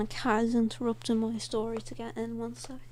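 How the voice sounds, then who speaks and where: A woman with an American accent speaks in a room with audible echo and noticeable background noise. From Ireland, Dublin. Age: 20s. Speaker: podcaster and artist. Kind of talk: casual chat. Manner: halting, many repeats and fillers.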